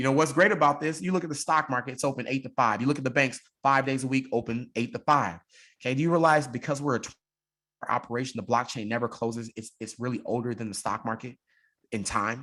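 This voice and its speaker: On a very clean recording with a silent background, a man of medium pitch talks very fast in an animated, bright, sharp tone, with ordinary pitch variation. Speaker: crypto business presenter. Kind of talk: sales pitch.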